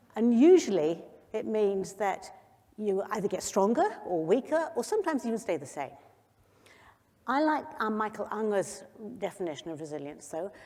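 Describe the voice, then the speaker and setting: Over noticeable background noise, a woman speaks with very wide pitch swings and long, frequent pauses. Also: medium pitch for a woman. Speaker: youth health doctor and conference speaker. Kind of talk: conference talk. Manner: fast.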